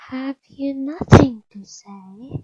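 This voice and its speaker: A soft-spoken woman's put-on character voice, husky and high-pitched. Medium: read story. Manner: soft, composed.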